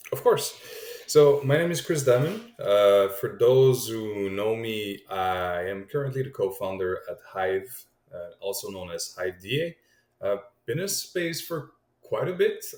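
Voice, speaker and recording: A man talks in a Quebec accent. He keeps a fairly slow pace. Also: big swings in loudness. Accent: Québécois French accent in English. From Quebec, Montreal. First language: French. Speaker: crypto startup co-founder. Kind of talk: podcast interview.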